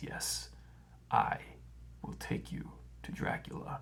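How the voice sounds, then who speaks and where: A man's put-on character voice, very deep and low in pitch, at a fairly slow pace over clear background noise. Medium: read story. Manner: slow, slightly stuttering, very sure of itself.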